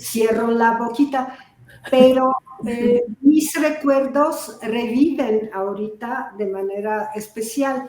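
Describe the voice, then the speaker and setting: Over noticeable background noise, a high-pitched woman with a Polish accent talks very slowly with ordinary pitch variation. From Poland, Warsaw. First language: Polish (speaking Spanish). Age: 70s. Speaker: software engineering pioneer, panelist. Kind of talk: panel discussion. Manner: halting, many fillers.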